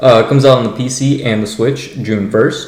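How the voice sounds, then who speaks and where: Mumbling through noticeable background noise, a man speaks with ordinary pitch variation. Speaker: gaming podcast host. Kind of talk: casual podcast chat. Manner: halting, many fillers.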